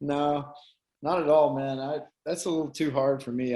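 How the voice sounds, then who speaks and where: A man with a Tennessee accent, fairly high pitch, ordinary pitch variation and a moderate pace. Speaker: MMA fighter. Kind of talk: casual chat.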